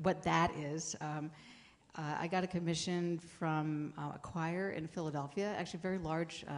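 In an American accent, the speaker talks at a moderate pace with monotone, flat intonation. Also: woman. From small-town Pennsylvania. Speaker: composer. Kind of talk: panel discussion.

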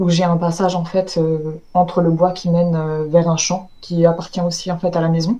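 Her tone is dark and mellow, monotone with flat intonation. The woman keeps a moderate pace with hardly any pauses. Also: fairly low pitch for a woman. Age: 30s. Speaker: eyewitness recounting paranormal encounter. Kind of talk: testimony. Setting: video call. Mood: calm storytelling. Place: home room. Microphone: video call.

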